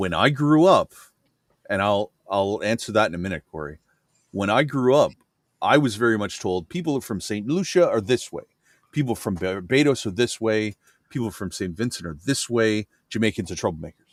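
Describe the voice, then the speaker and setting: This man has a normal speaking voice with a fairly low pitch. His pace is moderate and his intonation lively. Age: 40s. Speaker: livestream host. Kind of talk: casual chat.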